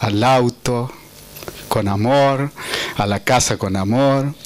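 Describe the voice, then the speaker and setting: Noticeable background noise sits behind a man speaking at a medium pitch with ordinary pitch variation. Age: 60s. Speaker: conference presenter. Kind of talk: speech introducing a speaker. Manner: halting.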